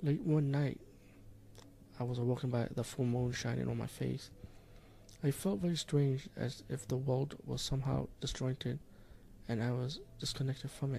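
Speaking at a medium pitch, a man has a dark, mellow tone that is somewhat breathy. His pace is moderate and his intonation fairly even, with long, frequent pauses. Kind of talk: ghost story telling, first-person creepypasta narration of a haunting. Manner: earnest, intense, blunt warning at the end.

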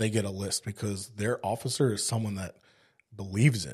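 Fairly low and somewhat breathy, a man's voice moves at a moderate pace. The recording is very clean with a silent background. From South Africa (Cape Town), moved to East Texas at 15. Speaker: firefighter. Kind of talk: casual chat.

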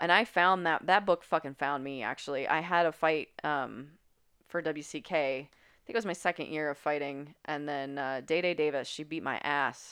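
A woman with an American accent speaks at a moderate pace and a very deep, low pitch. Her pitch varies in an ordinary way while her loudness swings widely. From West Virginia. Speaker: professional Muay Thai fighter. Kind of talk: casual chat.

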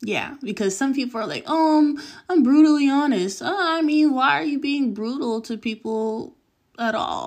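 Speaking at a moderate pace with a Californian accent, the voice carries lively intonation. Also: woman, high pitch for a woman. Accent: Californian American English. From Southern California. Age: 20s. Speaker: podcast host. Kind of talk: casual monologue. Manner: casual with fillers.

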